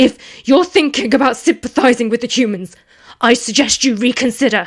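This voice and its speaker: Here a woman uses a put-on character voice, pitched high. She talks at a fairly quick pace. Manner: desperate, pleading.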